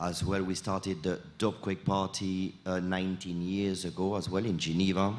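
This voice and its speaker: In a French accent, a man speaks at a moderate pace with a very deep, low pitch and monotone, flat intonation, with audible room echo. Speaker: sound system selector and producer. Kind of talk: panel discussion. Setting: stage with audience at festival.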